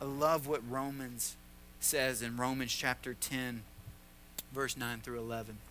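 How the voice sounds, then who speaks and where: With a Tennessee accent, a man talks at a very slow pace amid audible room echo. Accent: Southern US (Tennessee). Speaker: pastor. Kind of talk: sermon. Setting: church.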